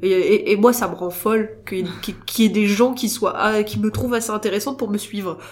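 A woman's ordinary speaking voice, fairly high in pitch, fairly quick with hardly any pauses and fairly even intonation. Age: 20s. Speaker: mother with Instagram account. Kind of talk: casual interview. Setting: coworking space recording.

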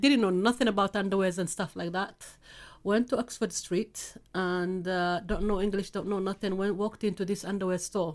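A woman speaks with a Somali accent at a moderate pace, her pitch medium and her intonation fairly even. The recording is very clean, with a silent background. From Somalia. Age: 50s. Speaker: FGM campaigner. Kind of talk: interview testimony. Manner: blunt.

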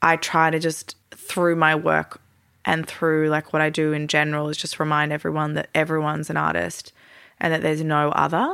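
A woman with a very deep, low pitch speaks in an Australian accent at a moderate pace, her tone bright and sharp. Her intonation is monotone and flat, on a very clean recording with a silent background. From Melbourne, Australia. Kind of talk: casual interview chat.

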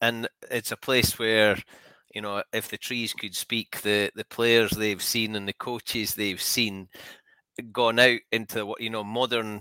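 In a very clean recording with a silent background and a dry, close sound with no echo, a man speaks at a fairly slow pace in a bright, sharp tone with monotone, flat intonation. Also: medium pitch for a man. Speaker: podcast host. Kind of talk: casual interview.

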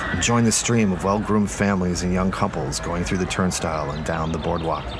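A man's dramatic tone at a fairly quick pace, ordinary pitch variation, and noticeable background noise. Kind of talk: dramatic narration of a supernatural mystery story. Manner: dramatic, atmospheric storyteller.

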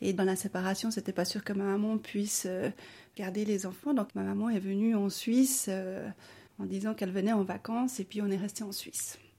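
A woman speaks at a moderate pace and medium pitch, with fairly even intonation. Her tone is dark and mellow and somewhat breathy. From Bolivia, then Switzerland from age 8. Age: 40s. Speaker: social worker. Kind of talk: personal testimony interview. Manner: hesitant, with frequent fillers.

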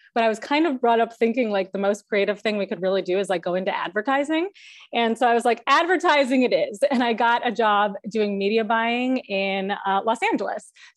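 A woman with a plain, everyday voice talks at a fairly quick pace with hardly any pauses. Her pitch is fairly high with ordinary variation, over a quiet background. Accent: American. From Chicago suburbs, US Midwest. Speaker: TV comedy writer. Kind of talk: class Q&A. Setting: video call.

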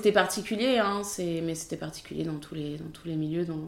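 With a plain, everyday voice, a woman speaks at a fairly quick pace in a fairly low pitch and ordinary pitch variation. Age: 30s. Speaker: film assistant director. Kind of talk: interview.

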